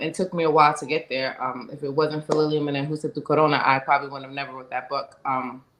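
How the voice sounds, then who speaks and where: A woman talks at a fairly quick pace with a New York accent. Her pitch is very deep and low. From US Northeast, Bronx, New York. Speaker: domestic violence advocate and author. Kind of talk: testimony.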